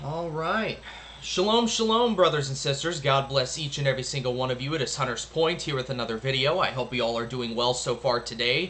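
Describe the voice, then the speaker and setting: Over noticeable background noise, a man talks at a fairly quick pace in a fairly high pitch with lively intonation. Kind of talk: news commentary and reading articles aloud. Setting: at home. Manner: quieter than normal.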